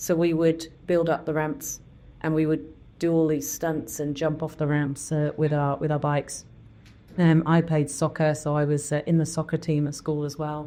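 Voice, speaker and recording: With an English accent, a woman talks at a moderate pace in a very deep, low, dark and mellow voice, her intonation flat and monotone. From southern England. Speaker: biotech CEO. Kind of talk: interview. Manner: hesitant, many fillers.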